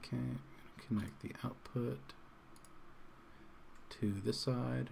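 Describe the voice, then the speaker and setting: Speaking at a very slow pace, the voice is somewhat breathy, with a relaxed tone and very wide pitch swings. Audible room echo surrounds it. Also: man, very deep, low pitch for a man. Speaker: electronics streamer. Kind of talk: live stream tutorial. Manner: casual, relaxed.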